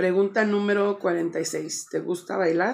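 A woman talks at a very slow pace with vocal fry. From Chicago, US Midwest, Mexican-American family. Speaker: vlogger. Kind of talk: casual vlog, Q&A tag. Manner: casual, filler-heavy with English code-switching. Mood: relaxed, friendly, a bit shy. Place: home room.

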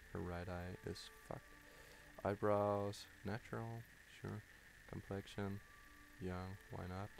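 A man speaks at a very slow pace with long, frequent pauses. His fairly low voice stays monotone and flat. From Denmark. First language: Danish. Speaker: gaming YouTuber. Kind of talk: live gameplay commentary. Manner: halting, many fillers.

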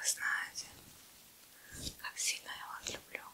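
Someone whispers in a gentle tone. The pace is very slow. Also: woman. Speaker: ASMR creator. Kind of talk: ASMR whisper roleplay with personal attention. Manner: soft-spoken, gentle, whispered. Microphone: studio mic.

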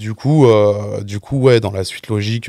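This is a man with a fairly low pitch, talking at a moderate pace with fairly even intonation. It is an ordinary speaking voice, with a dry sound with no echo over a quiet background. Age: 20s. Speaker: music video director; guest. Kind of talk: casual chat. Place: studio. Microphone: studio mic.

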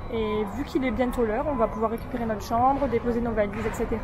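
Someone speaks at a fairly quick pace amid noticeable background noise. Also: woman. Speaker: travel vlogger. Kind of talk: casual vlog chat. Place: station. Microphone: phone near.

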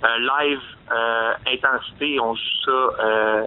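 A man speaks in a Quebec accent at a medium pitch. His intonation stays monotone and flat. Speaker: metal band singer. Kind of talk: interview.

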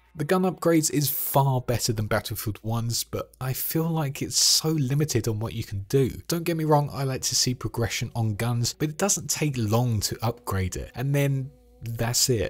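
With a London accent, a man of medium pitch speaks at a moderate pace in a somewhat breathy voice, with ordinary pitch variation and hardly any pauses, on a very clean recording with a silent background. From London, England. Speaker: gaming YouTuber. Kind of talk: scripted video essay narration.

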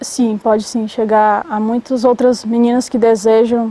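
A woman speaks fairly slowly in a dark, mellow tone with flat, monotone intonation, the sound dry with no echo. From Ceará, Brazil (Granja, sertão). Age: 20s. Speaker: novice nun. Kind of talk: testimony. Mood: calm, warm testimony. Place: garden. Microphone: lapel.

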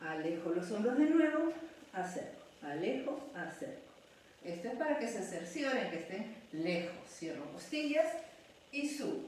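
Strong room echo surrounds a woman with very wide pitch swings. She speaks at a fairly slow pace over light background noise. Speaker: pilates instructor. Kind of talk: exercise class instruction. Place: home room. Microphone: camera far.

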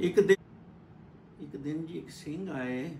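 A man talks with a fairly high pitch. Audible room echo and light background noise surround his voice. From Punjab, India. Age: 70s. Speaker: storyteller. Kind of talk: religious storytelling. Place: home room. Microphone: phone near.

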